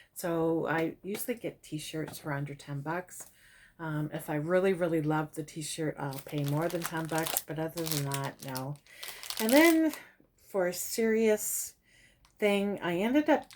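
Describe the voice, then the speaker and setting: A woman talks at a fairly slow pace with ordinary pitch variation. Hers is a normal speaking voice, fairly low in pitch. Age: 50s. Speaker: lifestyle vlogger. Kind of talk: product haul review. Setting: at home. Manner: casual, chatty with fillers.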